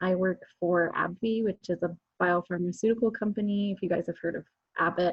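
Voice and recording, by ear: At a fairly quick pace, a woman with a fairly low pitch and a slightly husky edge speaks with little pitch movement.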